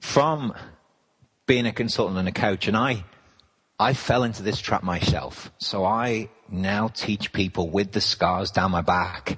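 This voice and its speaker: At a very slow pace, a man with an English accent speaks with ordinary pitch variation. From England. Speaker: business consultant. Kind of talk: interview.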